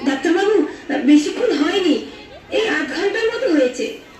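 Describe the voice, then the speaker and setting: A woman's put-on character voice, extremely high in pitch with very wide swings, at a moderate pace, with slight echo and clear background noise. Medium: stage play. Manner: anxious.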